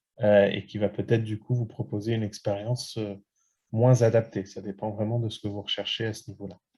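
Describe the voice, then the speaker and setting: A man speaks at a fairly quick pace in a fairly low, flat monotone with a somewhat breathy, dark and mellow tone. His loudness swings widely. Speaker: study abroad consultant. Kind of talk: webinar presentation. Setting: online webinar. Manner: many hesitations.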